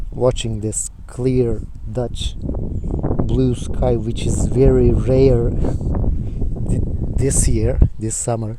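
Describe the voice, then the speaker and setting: A man's voice over noticeable background noise. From Turkey, Izmir. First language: Turkish. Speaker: student and video blogger. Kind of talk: casual talk to camera; reading aloud. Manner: hesitant, with fillers.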